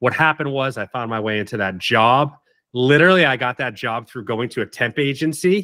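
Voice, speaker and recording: A man with an American accent speaks at a medium pitch and fairly quick pace, his tone bright and sharp with ordinary pitch variation, in a dry, close sound with no echo on a very clean recording with a silent background. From Martha's Vineyard, Massachusetts. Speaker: branding agency co-founder and CEO. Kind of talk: casual interview.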